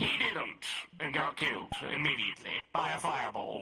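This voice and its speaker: A man's put-on character voice. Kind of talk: fantasy roleplay. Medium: game stream. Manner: wry, rambling.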